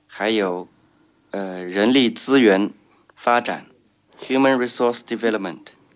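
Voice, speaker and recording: With a Chinese accent, a man speaks at a very slow pace and medium pitch. His pitch variation is ordinary, with long, frequent pauses. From China, Shanghai. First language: Chinese (speaking Russian). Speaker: blind social enterprise trainer. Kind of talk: interview.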